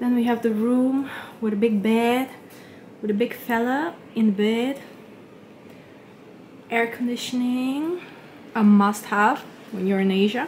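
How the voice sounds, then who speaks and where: At a fairly slow pace with long, frequent pauses, a woman with a non-native accent and a fairly high pitch speaks with fairly even intonation. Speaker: travel vlogger. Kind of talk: casual vlog talk to camera.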